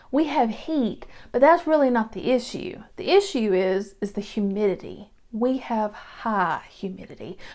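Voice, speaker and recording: A woman with a Georgia accent speaks at a fairly slow pace in a fairly high pitch, her intonation lively, on a very clean recording with a silent background. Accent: Southern (Georgia). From Georgia, US South. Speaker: real estate agent. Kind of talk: casual vlog talk to camera. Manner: chatty, casual with filler words.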